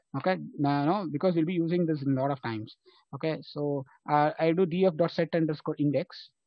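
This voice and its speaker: Talking at a very fast pace, the man has a fairly high pitch and fairly even intonation. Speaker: programming instructor. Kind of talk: live online lecture.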